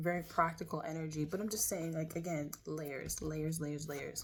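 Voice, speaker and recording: Speaking at a fairly slow pace, a woman uses a very deep, low pitch with vocal fry and fairly even intonation. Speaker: tarot reader. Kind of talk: tarot reading. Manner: loud.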